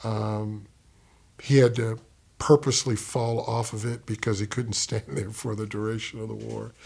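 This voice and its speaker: Speaking with an American accent, a man sounds somewhat breathy, with fairly even intonation and a fairly slow pace, on a very clean recording with a silent background. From US military bases, Okinawa and Kentucky. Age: 60s. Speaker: poet. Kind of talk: interview, personal life story. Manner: hesitant, many fillers.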